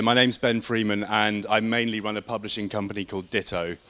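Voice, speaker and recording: Bright and sharp in tone, a man speaks with an English accent at a fairly quick pace. His pitch is medium, and his intonation is fairly even. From England. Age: 30s. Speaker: independent publisher. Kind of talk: conference talk. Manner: fast.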